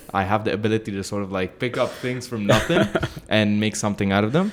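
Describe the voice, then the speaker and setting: A man with a fairly low pitch and ordinary pitch variation speaks at a very fast pace, with noticeable background noise. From Lebanese. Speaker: voice over artist, voice of Dubai, studio co-owner. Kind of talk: podcast interview answer.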